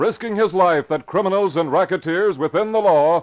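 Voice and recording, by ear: A man with a high pitch speaks at a moderate pace, varying his pitch in an ordinary way.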